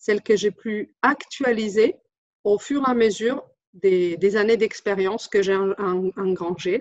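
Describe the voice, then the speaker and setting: Her pitch is medium with ordinary variation. The woman talks at a fairly slow pace. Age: 40s. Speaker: translator and interpreter, business owner. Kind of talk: testimonial. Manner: halting, many hesitations.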